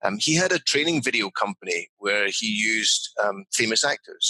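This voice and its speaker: The voice has a Scottish accent and a dry, close sound with no echo. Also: man. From Scotland. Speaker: business leadership consultant. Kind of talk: interview.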